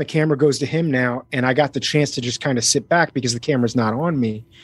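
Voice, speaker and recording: A fairly quick, fairly even delivery with a slight US East Coast accent against a quiet background. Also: man. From US, Miami. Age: 40s. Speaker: actor and voice actor. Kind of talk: casual interview. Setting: home recording studio, video call.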